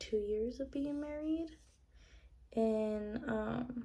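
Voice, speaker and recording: Very slowly, a woman with a fairly high voice talks in a fairly even tone, with noticeable background noise behind her. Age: 20s. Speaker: beauty vlogger. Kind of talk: casual chat. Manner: hesitant, many fillers.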